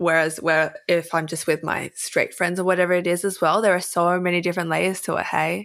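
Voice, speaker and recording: A woman with an Australian accent and a fairly low pitch talks at a fairly quick pace with hardly any pauses, in a monotone, flat intonation. The recording is very clean, with a silent background. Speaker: influencer and writer. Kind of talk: casual chat.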